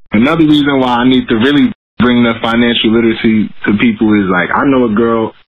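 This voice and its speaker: A man with an American accent talks at a very fast pace. His pitch is medium, his intonation fairly even and his loudness very even. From Bronx, New York City. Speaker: business consultant. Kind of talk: casual interview.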